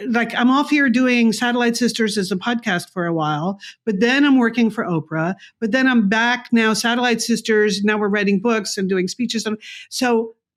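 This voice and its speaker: A woman talks in a normal speaking voice at a fairly high pitch with ordinary pitch variation. Her moderate pace comes through on a very clean recording with a silent background. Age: 60s. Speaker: businesswoman and podcaster. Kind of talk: casual interview chat.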